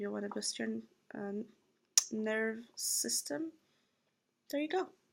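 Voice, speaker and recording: The woman speaks with a Brazilian Portuguese accent. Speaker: vlogger. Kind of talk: casual vlog product review. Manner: hesitant with fillers.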